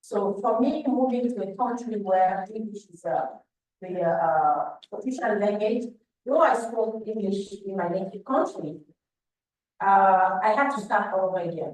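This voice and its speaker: In a French accent, the speaker talks at a fairly slow pace with lively intonation and big swings in loudness, over background music and audible room echo. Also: woman, medium pitch for a woman. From Cameroon. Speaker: panelist, leadership speaker. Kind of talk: panel discussion.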